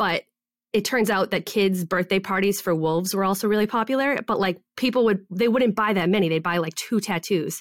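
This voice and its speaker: A woman speaks in a normal speaking voice with ordinary pitch variation and very even loudness. The recording is very clean, with a silent background. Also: medium pitch for a woman, fairly quick pace. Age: 30s. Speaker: online business coach and shop owner. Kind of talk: interview.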